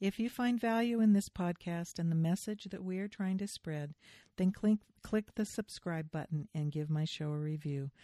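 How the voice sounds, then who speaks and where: On a very clean recording with a silent background and a dry, close sound with no echo, a woman speaks at a moderate pace and medium pitch, her dark, mellow tone showing ordinary pitch variation. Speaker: podcast host. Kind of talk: interview conversation. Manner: enthusiastic.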